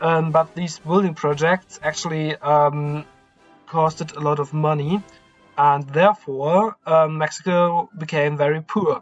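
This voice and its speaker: A man with a non-native accent speaks at a fairly slow pace and fairly high pitch. Music plays in the background. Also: fairly even intonation. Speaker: history YouTuber. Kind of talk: history narration to camera. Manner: hesitant, many fillers.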